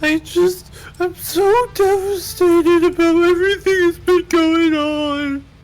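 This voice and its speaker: This put-on character voice is extremely high and whiny in tone, whiny throughout, and delivered at a fairly slow pace. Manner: fake crying, whiny.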